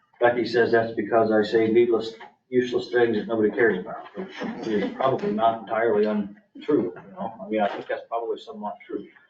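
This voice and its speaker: A man speaks at a fairly quick pace with hardly any pauses. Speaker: county official presenting budget. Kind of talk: public meeting budget presentation. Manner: fast.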